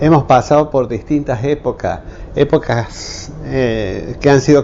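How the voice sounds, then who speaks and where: A man with a fairly high pitch speaks at a very slow pace. His pitch varies in an ordinary way. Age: 70s. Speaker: retired engineer and technical school teacher. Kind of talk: interview testimony. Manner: halting, many fillers.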